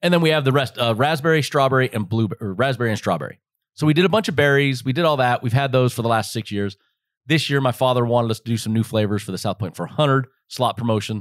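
A man with an American accent talks at a very fast pace, medium in pitch with ordinary pitch variation. The recording is very clean with a silent background, dry and close with no echo. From Las Vegas, Nevada. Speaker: retired NASCAR driver and moonshine distillery co-owner. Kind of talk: casual chat.

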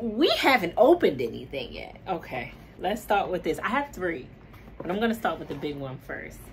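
A woman at a moderate pace with big swings in loudness, over light background noise. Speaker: vlogger. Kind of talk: casual vlog chat. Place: home room.

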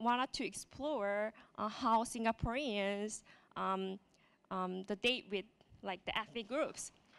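Speaking very slowly with long, frequent pauses, a woman with a Korean accent uses a fairly high pitch and ordinary pitch variation. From South Korea. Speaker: web developer and speaker. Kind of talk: conference talk. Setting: stage with audience. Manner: halting, hesitant with fillers. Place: hall. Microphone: handheld.

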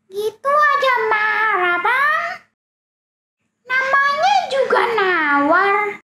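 In a cartoonish character voice, a woman speaks very slowly at an extremely high pitch, with very wide pitch swings. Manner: complaining, haggling.

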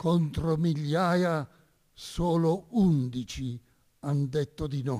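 Against a quiet background, a man with a fairly high pitch and a dark, mellow tone speaks at a very slow pace, with ordinary pitch variation and long, frequent pauses. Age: 90s. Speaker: priest and Resistance veteran; witness. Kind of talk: testimony. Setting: stage with audience. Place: stage. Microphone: podium.

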